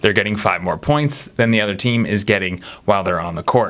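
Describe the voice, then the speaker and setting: A man speaks fairly quickly, his pitch swinging very widely. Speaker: basketball commentator. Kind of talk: casual commentary video. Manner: fast; casual, self-correcting.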